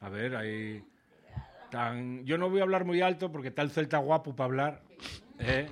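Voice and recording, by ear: A man with an Asturian accent speaks with ordinary pitch variation.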